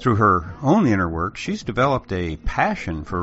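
With music in the background, a man's voice sits fairly low in pitch. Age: 70s. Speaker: podcast host. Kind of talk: scripted narration.

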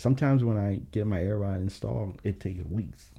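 Fairly low in pitch, a man with an American accent talks at a fairly quick pace in a dark, mellow tone with ordinary pitch variation. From Virginia, US. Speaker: car suspension customizer. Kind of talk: casual interview chat. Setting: in person studio.

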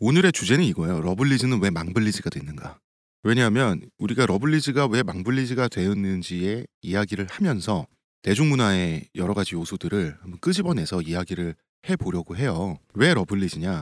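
Talking at a fairly quick pace, the man uses lively intonation. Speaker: podcast host. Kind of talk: casual chat. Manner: fast.

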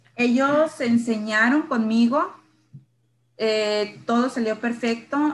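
A woman talks at a very slow pace with a fairly high pitch. Her pitch variation is ordinary. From Sonora, northern Mexico (San Luis Río Colorado). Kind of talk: personal testimony in interview.

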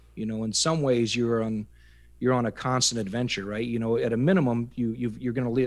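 On a very clean recording with a silent background, a man with a Midwestern American accent talks at a very fast pace, using a medium pitch and fairly even intonation. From US Midwest, Iowa. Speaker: army veteran. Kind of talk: interview storytelling. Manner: halting, repeats words.

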